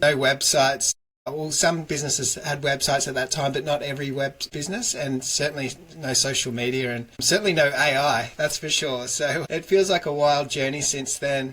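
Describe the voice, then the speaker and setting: A man with a fairly high pitch speaks with an Australian accent. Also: fairly even intonation, moderate pace. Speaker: digital agency founder. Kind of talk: interview. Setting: office.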